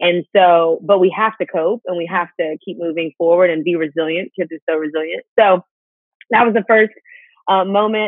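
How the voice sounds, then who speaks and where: In an American accent, a woman speaks at a moderate pace and a fairly low pitch. The sound is dry with no echo, and the background is quiet. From Houston, Texas. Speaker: speaker and host; interview guest. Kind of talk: interview testimony. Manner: animated. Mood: earnest, personal story. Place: home room. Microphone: video call.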